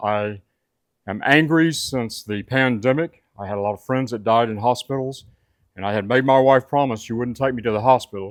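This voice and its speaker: Moderately paced speech from a man with a Southern US accent, on a very clean recording, silent background. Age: 70s. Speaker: welding instructor and video blogger. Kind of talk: personal testimony. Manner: conversational with hesitations.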